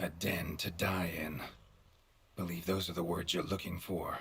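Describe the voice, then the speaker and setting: A put-on character voice, raspy and deadpan in tone. It moves along at a moderate pace. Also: man, very deep, low pitch for a man. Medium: video game. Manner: terse, dry, deadpan.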